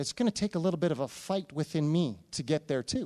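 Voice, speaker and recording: With a plain, everyday voice, a man speaks at a moderate pace and fairly high pitch with lively intonation on a very clean recording with a silent background. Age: 40s. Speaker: pastor. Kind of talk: sermon.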